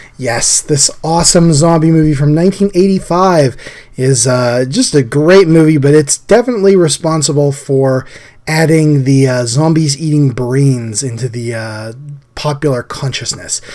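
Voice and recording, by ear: This man's voice sits fairly high in pitch, with a slightly mellow tone. His pitch varies in an ordinary way. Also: moderate pace.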